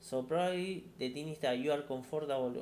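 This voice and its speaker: A man with a non-native accent, with audible room echo. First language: not English. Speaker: tech career YouTuber. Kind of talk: casual monologue answering viewer questions. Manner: halting, many repetitions.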